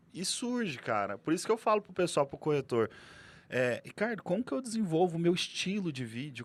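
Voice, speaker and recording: A man speaks with a strong Goiás accent. His pace is fairly quick and his intonation lively. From Goiás, central Brazil. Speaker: real estate broker and content creator. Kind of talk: podcast interview. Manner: animated, casual.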